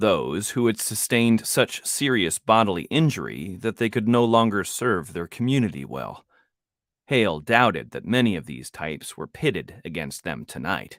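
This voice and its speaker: A man with a fairly low pitch and vocal fry speaks at a moderate pace, making very wide pitch swings and big swings in loudness. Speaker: author and audiobook narrator. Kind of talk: audiobook narration. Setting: home studio.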